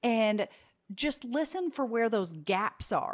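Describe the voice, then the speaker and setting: A woman speaks fairly slowly with lively intonation and a fairly high pitch, in an unremarkable speaking voice on a very clean recording with a silent background. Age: 30s. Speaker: business consultant. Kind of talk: interview.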